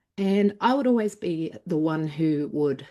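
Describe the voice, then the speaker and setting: A woman with an Australian accent, dark, mellow tone, ordinary pitch variation and moderate pace. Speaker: former doctor turned healing coach. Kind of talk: interview. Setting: live online interview.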